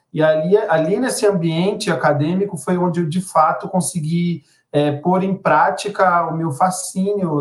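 Fairly high in pitch with fairly even intonation, this man has an ordinary speaking voice. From Brazil, Belém do Pará. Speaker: journalist and songwriter. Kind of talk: interview conversation.

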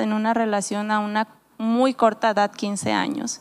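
A woman at a fairly high pitch and fairly slow pace, with noticeable background noise. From Mexico, Nayarit. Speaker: pastor. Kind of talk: casual chat.

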